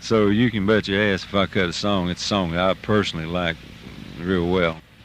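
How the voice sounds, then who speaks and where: The delivery comes at a fairly quick pace with fairly even intonation. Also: man, very deep, low pitch for a man. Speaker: country music singer. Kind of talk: radio interview answer. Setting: recorded on a tour bus. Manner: casual, humorous, laid-back.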